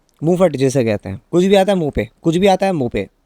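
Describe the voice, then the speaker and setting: A man with a dark, mellow tone makes very wide pitch swings in a dry, close recording with no echo. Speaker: YouTuber, social commentator. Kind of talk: casual vlog commentary.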